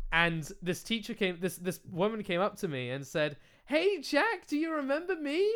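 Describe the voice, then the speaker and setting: With a British accent, a man speaks at a moderate pace in an animated tone, his high pitch moving in very wide swings. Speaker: podcast host and video creator. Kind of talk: casual chat. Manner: animated, profane.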